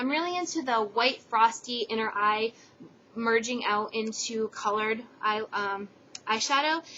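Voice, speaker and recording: Against noticeable background noise, a woman speaks in a fairly high voice. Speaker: beauty vlogger. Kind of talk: product haul review. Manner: fast; casual, lots of fillers.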